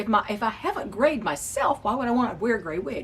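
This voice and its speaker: Against noticeable background noise, a woman speaks with a high pitch and very wide pitch swings. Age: 60s. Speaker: wig reviewer. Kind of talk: casual vlog talk. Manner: halting, with repetitions.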